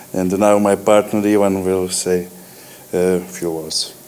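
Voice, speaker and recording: Long, frequent pauses break up a man's monotone, flat delivery. His pitch is very deep and low, and noticeable background noise is present. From Croatia. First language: Croatian. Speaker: company CEO. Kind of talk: acceptance speech.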